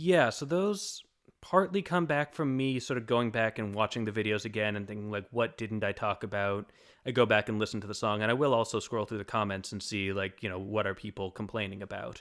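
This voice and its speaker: In a very clean recording with a silent background, a man talks at a fairly quick pace with a fairly low pitch and ordinary pitch variation. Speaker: music theory YouTuber. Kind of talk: podcast interview. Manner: fast.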